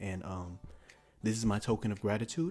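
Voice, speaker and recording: A man speaks at a fairly quick pace with a fairly low pitch. The recording is very clean, with a silent background. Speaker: YouTube movie reviewer. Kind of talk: comedic movie recap. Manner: hesitant, unscripted.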